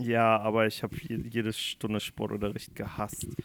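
A man uses a normal speaking voice, pitched medium and delivered at a fairly slow pace. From Rhineland-Palatinate, Germany. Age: 20s. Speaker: podcast host, political scientist. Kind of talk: casual chat.

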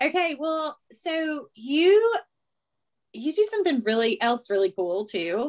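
In a strong Southern US accent, a woman speaks with high pitch and very wide pitch swings. She goes at a very slow pace. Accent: Southern US, thick. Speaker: podcast host. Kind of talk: casual chat.

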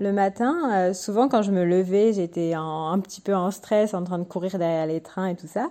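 A woman's voice with a medium pitch and a dark, mellow tone, at a moderate pace. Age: 30s. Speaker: doctor. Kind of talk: testimony.

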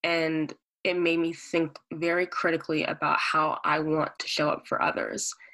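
A woman's fairly low, bright, sharp voice moves at a moderate pace with monotone, flat intonation. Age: 20s. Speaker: student activist. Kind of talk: casual chat.

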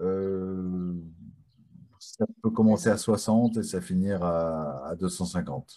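A man speaks at a very deep, low pitch. His tone is dark and mellow. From France. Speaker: talk show host. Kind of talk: live online talk show. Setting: video call.

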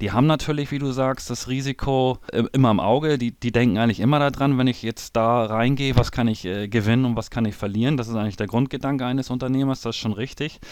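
Barely pausing, a man talks very fast at a medium pitch with fairly even intonation. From northern Germany, Hamburg. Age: 40s. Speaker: trader and former business owner. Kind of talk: interview. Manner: hesitant, many fillers and repetitions.

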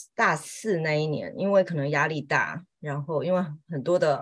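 Her pitch fairly low and varying an ordinary amount, a woman speaks at a fairly slow pace. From Taiwan. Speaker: homemaker and part-time Chinese teacher. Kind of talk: casual chat.

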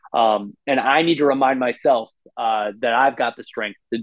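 A man's normal speaking voice at medium pitch, with an American accent and a moderate pace. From US Midwest, Illinois. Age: 40s. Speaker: death metal vocalist. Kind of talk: casual chat.

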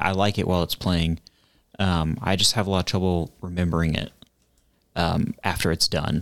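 A man speaks with a Midwestern American accent in a very clean recording with a silent background. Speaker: podcast co-host. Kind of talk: casual chat.

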